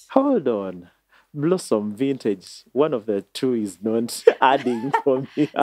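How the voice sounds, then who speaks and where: Speaking at a very slow pace, a man with a medium pitch and ordinary pitch variation takes a playful tone. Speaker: podcast host. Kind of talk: casual interview.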